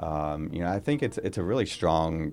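In an American accent, a man talks at a very fast pace with a very deep, low voice. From Florida, St. Augustine. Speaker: chef and restaurant owner. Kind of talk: casual interview.

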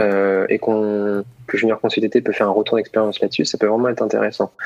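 Noticeable background noise accompanies a man speaking at a medium pitch and a fairly quick pace. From Paris region, Essonne. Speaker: former student entrepreneur. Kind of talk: casual interview. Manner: hesitant, many repetitions.

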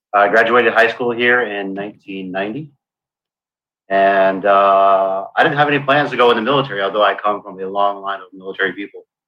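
A plain, everyday voice from a man, fairly low in pitch with ordinary pitch variation, at a moderate pace. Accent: American. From Brooklyn, New York, then South Florida. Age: 50s. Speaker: navy veteran. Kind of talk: casual chat.

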